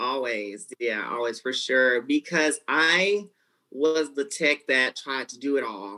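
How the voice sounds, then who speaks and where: A woman with a Southern US accent talks at a very slow pace in a very deep, low voice. Her tone is bright and sharp, with lively intonation. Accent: Southern US (Georgia). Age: 20s. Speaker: nail technician. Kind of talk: casual interview. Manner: talkative.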